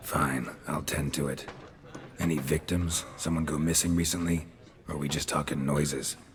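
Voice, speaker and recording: A man puts on a character voice, raspy and very deep, with monotone, flat intonation. He keeps a moderate pace over clear background noise. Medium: short film. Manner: terse, deadpan.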